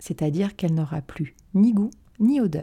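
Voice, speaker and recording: In a very clean recording with a silent background, a woman speaks at a moderate pace with lively intonation. Her tone is dark and mellow, somewhat breathy. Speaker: dietitian podcast host. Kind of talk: scripted narration. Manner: smiling.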